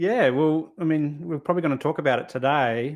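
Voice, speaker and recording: Here a man talks with an Australian accent. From Australia, Adelaide (South Australia). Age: 40s. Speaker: men's therapist, podcast host. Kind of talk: casual podcast interview. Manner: halting, repeats words.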